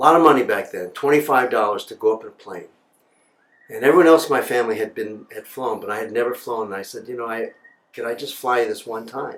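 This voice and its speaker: Talking very fast with an American accent, a man at medium pitch swings widely in loudness. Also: ordinary pitch variation. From New York City, Upper West Side. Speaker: broadcast journalist. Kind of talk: personal storytelling. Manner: casual, halting with fillers.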